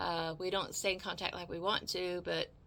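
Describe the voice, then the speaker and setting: A woman speaks at a fairly low pitch and moderate pace, monotone and flat, with vocal fry and a bright, sharp tone. The recording is very clean, with a silent background. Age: 60s. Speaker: video blogger. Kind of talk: casual storytelling monologue. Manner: halting, many repeated words.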